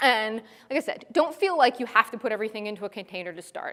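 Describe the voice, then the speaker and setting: A woman speaks at a very fast pace. Her pitch is fairly high. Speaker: tech conference speaker. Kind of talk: conference talk. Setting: stage with audience.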